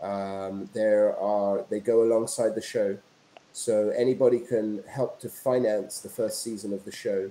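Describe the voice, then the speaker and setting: Speaking with a British accent, a man uses a dark, mellow tone and fairly even intonation at a fairly slow pace, with light background noise and audible room echo. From England, London. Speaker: entrepreneur and filmmaker. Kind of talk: interview. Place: home room.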